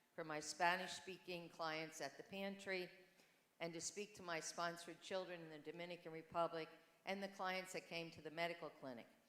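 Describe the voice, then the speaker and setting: A woman speaks at a fairly low pitch and a moderate pace, with fairly even intonation. Her loudness swings widely, and the room has audible echo. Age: 70s. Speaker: church volunteer. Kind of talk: testimony. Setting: church.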